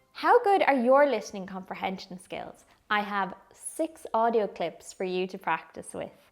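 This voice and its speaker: Music plays in the background as a woman with an Irish accent speaks at a fairly high pitch with lively intonation. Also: moderate pace, big swings in loudness. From Ireland. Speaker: English teacher. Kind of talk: educational talk to camera.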